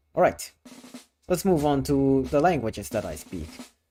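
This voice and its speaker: Music plays in the background. A man with a fairly low pitch talks with very wide pitch swings. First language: Thai. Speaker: vtuber streamer. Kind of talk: live stream casual chat. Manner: repetitive, stammering.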